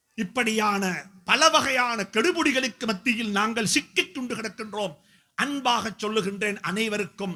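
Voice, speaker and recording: A man's high, raised, projected voice with a bright, sharp tone and ordinary pitch variation. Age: 50s. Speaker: Islamic scholar and preacher. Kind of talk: speech at a community event. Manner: emphatic, repetitive oratory.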